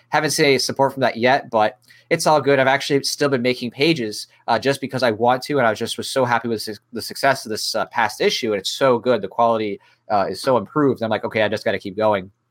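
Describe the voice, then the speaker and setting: The speaker talks at a very fast pace. Pitch varies in an ordinary way. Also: man, medium pitch for a man. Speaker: artist, returning podcast guest. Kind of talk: casual chat.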